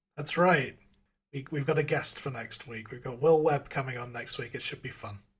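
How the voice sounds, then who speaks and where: Somewhat breathy, a man speaks at a medium pitch and moderate pace with ordinary pitch variation and big swings in loudness. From England. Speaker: podcast co-host. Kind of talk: casual chat. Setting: video call.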